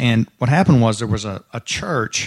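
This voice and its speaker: The speaker has a Texan accent and a moderate pace with fairly even intonation. The recording is very clean, with a silent background. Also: man. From Texas. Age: 50s. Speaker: commercial real estate developer. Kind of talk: interview before a live dinner audience.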